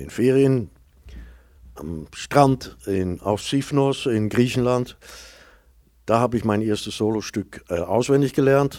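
Speaking at a very slow pace with long, frequent pauses, a man with a medium pitch and a dark, mellow tone uses lively intonation and big swings in loudness, in a very clean recording with a silent background. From Netherlands. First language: Dutch (speaking German). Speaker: actor and storyteller. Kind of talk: interview before live audience. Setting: stage with audience.

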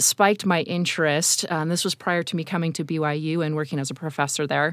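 A woman with a fairly low pitch at a moderate pace, a plain, everyday voice, in a very clean recording with a silent background. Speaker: university researcher. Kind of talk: interview.

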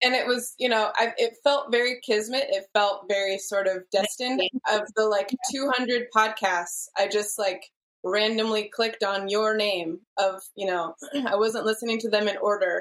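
A woman talks in a plain, everyday voice, fairly high in pitch. Her intonation is fairly even and her pace moderate. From Seattle, US Pacific Northwest. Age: 40s. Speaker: client, mother. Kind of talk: casual interview.

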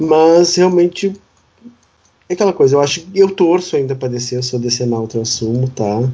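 A man speaks in a normal speaking voice at a fairly high pitch. His intonation is lively and his pace moderate. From Rio Grande do Sul, Brazil (Uruguaiana). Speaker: podcast co-host, health professional. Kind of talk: casual chat.

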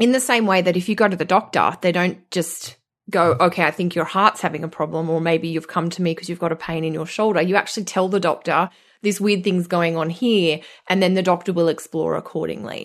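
In an Australian accent, a woman with a fairly low pitch speaks at a fairly quick pace, with ordinary pitch variation and a quiet background. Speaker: astrologer. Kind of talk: casual chat.

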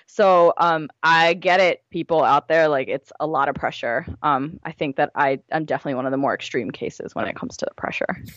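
A woman with a very deep, low pitch and an American accent, ordinary pitch variation, and a fairly quick pace. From US, Gujarati Indian family. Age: 20s. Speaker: blogger and writer. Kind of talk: casual interview chat.

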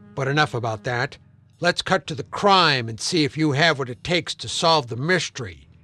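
Over a quiet background, a man speaks at a moderate pace with a bright, sharp tone and a fairly high pitch. The sound is dry and close with no echo, and his intonation is lively. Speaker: comedy podcast host playing a detective character. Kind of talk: noir detective narration, scripted comedy parody. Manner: direct address to listener, brisk and wisecracking.

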